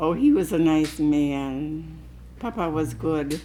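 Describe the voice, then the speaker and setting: A woman's very slow speech with audible room echo. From US Midwest, Milwaukee Bay View. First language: Croatian. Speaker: oral history interviewee. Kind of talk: oral history interview. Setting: home interview.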